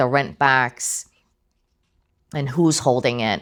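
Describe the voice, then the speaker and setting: The recording is very clean and the background silent. A woman talks with a very deep, low pitch. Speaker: title company representative. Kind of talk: training presentation.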